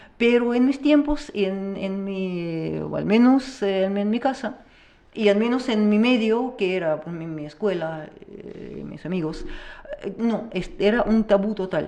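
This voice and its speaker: Her pace is fairly slow, and this woman speaks at medium pitch. She uses lively intonation, with big swings in loudness. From Russia. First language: Russian (speaking Spanish). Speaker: teacher. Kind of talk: interview. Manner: halting.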